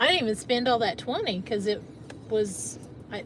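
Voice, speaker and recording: Noticeable background noise sits behind a woman with an American accent who talks at a medium pitch with fairly even intonation. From Northeast Arkansas. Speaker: live stream co-host. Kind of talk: casual live stream chat.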